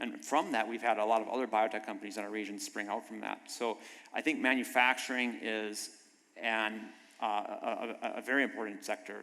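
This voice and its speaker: A man talks at a fairly quick pace. He has a slight North Dakota accent. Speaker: biotech manufacturing executive. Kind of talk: panel discussion.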